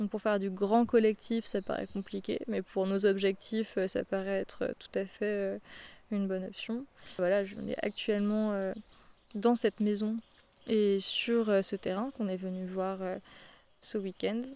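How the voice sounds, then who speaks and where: With a dark, mellow tone, a woman at medium pitch speaks fairly slowly in a flat monotone, leaving long, frequent pauses. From France, Paris. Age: 20s. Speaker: psychologist turned eco-farmer. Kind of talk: personal testimony interview. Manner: hesitant with filler sounds.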